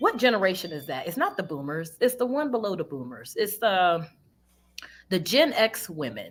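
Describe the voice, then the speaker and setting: Her pitch swings very widely in an animated tone. The woman's voice also has vocal fry. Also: very clean recording, silent background. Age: 30s. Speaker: podcast guest. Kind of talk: casual chat.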